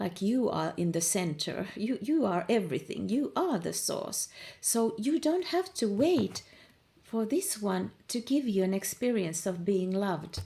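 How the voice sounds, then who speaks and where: A woman speaks at a fairly slow pace in a medium-pitched, dark, mellow voice with vocal fry. Her pitch swings very widely. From Finland. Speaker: manifestation coach. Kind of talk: informal monologue, coaching talk. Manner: casual, with fillers and repetitions.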